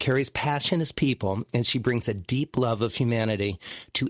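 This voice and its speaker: Recorded dry and close with no echo, a plain, everyday voice moves at a fairly quick pace with ordinary pitch variation. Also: man. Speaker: podcast host and musician. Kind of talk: podcast host intro and interview questions.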